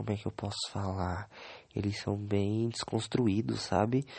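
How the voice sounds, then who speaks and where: His intonation fairly even, a man speaks at a fairly low pitch. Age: 20s. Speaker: podcaster. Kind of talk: solo diary podcast. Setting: bedroom. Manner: halting.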